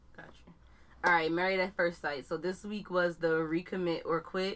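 A woman's bright, sharp voice in an American accent, medium in pitch, on a very clean recording with a silent background. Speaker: podcast co-host. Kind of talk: casual chat between friends.

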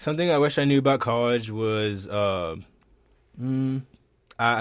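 A man with a normal speaking voice talks at a moderate pace and medium pitch, using lively intonation. The recording is very clean, with a silent background. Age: 20s. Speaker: college student, fashion major. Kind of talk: casual chat.

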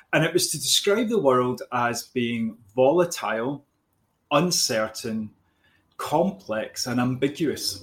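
Lively intonation marks this very slow speech with a Glaswegian accent, captured on a very clean recording with a silent background. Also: man, medium pitch for a man. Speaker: business coach. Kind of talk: podcast conversation. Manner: hesitant, with fillers and repeats.

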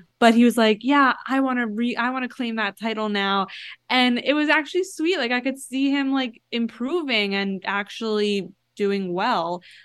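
A woman with an American accent has a normal speaking voice and a fairly high pitch. She talks at a moderate pace with lively intonation over a quiet background. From Florida. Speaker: TikTok pop culture creator. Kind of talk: casual chat.

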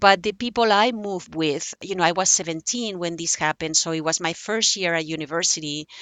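A woman with a Spanish accent, ordinary pitch variation and hardly any pauses. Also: fairly low pitch for a woman, fairly quick pace. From Spain, Barcelona. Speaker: memoirist. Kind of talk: interview.

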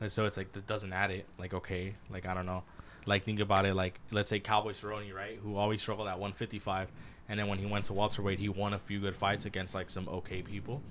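A man with a fairly low-pitched voice talks at a fairly quick pace. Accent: Spanish. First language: Spanish. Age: 20s. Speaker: podcast co-host. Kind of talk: casual chat. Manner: animated.

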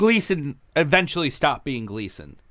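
A man's voice has a bright, sharp tone with vocal fry and very wide pitch swings. The recording is very clean, with a silent background. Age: 30s. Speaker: comedian. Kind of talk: casual chat.

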